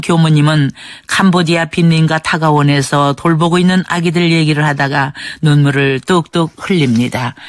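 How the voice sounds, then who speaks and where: Using a plain, everyday voice, a woman talks at a moderate pace with fairly low pitch and fairly even intonation. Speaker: radio documentary narrator. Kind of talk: radio documentary narration.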